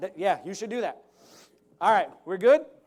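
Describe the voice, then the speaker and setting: A man is speaking. His tone is animated. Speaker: motivational speaker. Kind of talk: motivational talk. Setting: stage with audience. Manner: fast.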